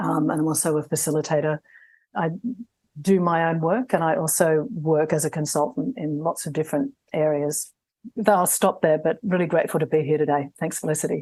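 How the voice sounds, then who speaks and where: A woman's very deep, low voice in an Australian accent, dark and mellow in tone, with ordinary pitch variation and a fairly quick pace. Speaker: somatic coach and trainer. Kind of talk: panel discussion.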